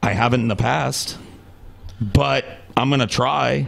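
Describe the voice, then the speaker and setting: Against noticeable background noise, a man speaks fairly slowly at a medium pitch. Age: 30s. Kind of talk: casual chat.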